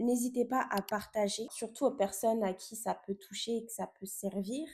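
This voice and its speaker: With a dark, mellow tone and a somewhat breathy quality, a woman talks at a moderate pace with ordinary pitch variation. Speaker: podcast host. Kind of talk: casual podcast monologue. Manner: hesitant, many fillers.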